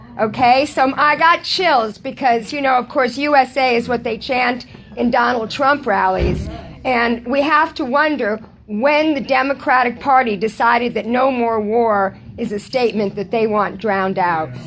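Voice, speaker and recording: High-pitched woman at a moderate pace with ordinary pitch variation, over noticeable background noise. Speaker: audience member, political activist. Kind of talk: audience comment at a talk. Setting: book talk with live audience.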